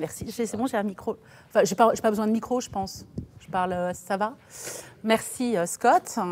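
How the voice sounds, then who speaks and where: A woman with a fairly high pitch, lively intonation and a moderate pace. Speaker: design professor and lecturer. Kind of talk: lecture.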